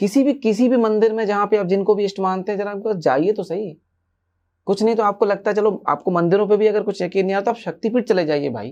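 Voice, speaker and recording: Against a quiet background, a man speaks in a high voice. He keeps a moderate pace and ordinary pitch variation. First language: an Indian language other than Hindi (speaking Hindi). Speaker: spiritual teacher. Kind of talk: podcast interview.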